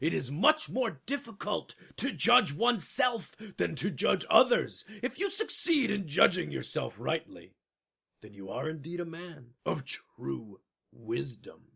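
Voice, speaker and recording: A man puts on a character voice at a high pitch. He talks at a fairly slow pace. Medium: audio drama. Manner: pompous, commanding, formal.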